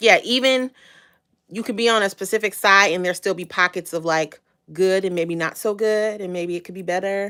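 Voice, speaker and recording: Speaking with an American accent, a woman uses a bright, sharp tone at medium pitch and a moderate pace, with big swings in loudness. The recording is very clean, with a silent background. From Chicago area, US Midwest. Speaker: live streamer. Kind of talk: casual chat. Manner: animated.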